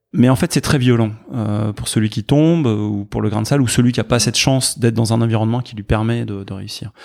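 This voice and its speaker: Hardly any pauses break up this man's fairly quick delivery, which has ordinary pitch variation and a medium pitch. His is an unremarkable speaking voice. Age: 50s. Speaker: tech entrepreneur and charity founder. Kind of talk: casual interview.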